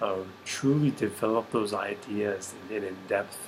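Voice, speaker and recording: A man with a General American accent speaks quietly at a moderate pace in a fairly low pitch, with monotone, flat intonation. Noticeable background noise is present. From Arizona. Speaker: military service member and student. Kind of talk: personal video reflection. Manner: hesitant, many fillers.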